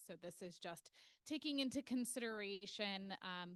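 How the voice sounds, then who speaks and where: The sound is dry and close, with no echo. Pitch varies in an ordinary way. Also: woman. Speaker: architecture consultant. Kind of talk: presentation. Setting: public board meeting. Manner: loud.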